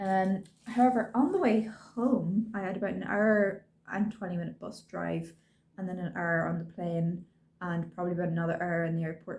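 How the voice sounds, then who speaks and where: Somewhat breathy, a woman with an Irish accent talks at a moderate pace and a medium pitch, with ordinary pitch variation. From Ireland. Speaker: cross-stitch vlogger. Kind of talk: casual show-and-tell vlog. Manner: chatty, with frequent ums.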